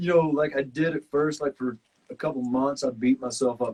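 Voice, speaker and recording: Speaking with a Southern US accent, a man talks at medium pitch and a moderate pace. His pitch varies in an ordinary way, and the sound is dry and close with no echo. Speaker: survival reality show contestant. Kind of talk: casual chat.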